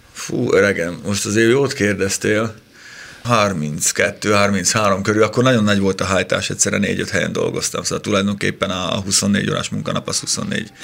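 Vocal fry runs through this man's fairly low voice, which moves at a moderate pace with fairly even intonation. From Upper Hungary (southern Slovakia). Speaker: motoring journalist. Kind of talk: casual chat.

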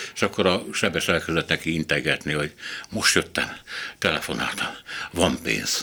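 At a moderate pace with long, frequent pauses, a man speaks in a very deep, low pitch with vocal fry, a bright, sharp tone, and ordinary pitch variation. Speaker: radio host. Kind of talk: panel discussion.

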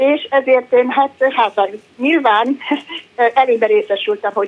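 Her voice is high-pitched. The woman's intonation is lively. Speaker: retired civil servant, radio caller. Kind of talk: phone-in question.

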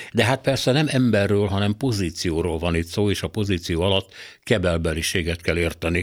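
The recording is very clean, with a silent background. In it, a man talks at a very deep, low pitch. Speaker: radio commentator. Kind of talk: scripted opinion commentary. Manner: formal.

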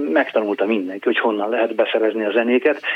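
A man talks. Noticeable background noise is present. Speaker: radio editor-in-chief, former DJ. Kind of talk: interview. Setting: phone call.

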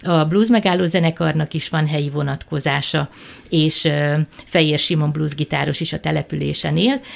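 A woman speaks at a moderate pace in a very deep, low voice with ordinary pitch variation, and background noise is noticeable. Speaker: cultural center director and festival organizer. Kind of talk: radio interview.

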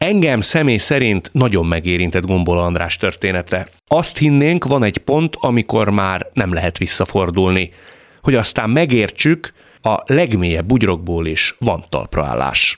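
A man speaks at a fairly low pitch and a fairly slow pace, with very wide pitch swings but very even loudness. The recording is very clean, with a silent background. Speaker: radio host. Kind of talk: radio interview. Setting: studio. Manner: formal.

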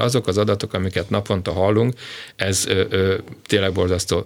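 A man's normal speaking voice, fairly low in pitch, at a fairly quick pace with fairly even intonation. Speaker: education expert, former teachers' union president. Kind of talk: radio interview.

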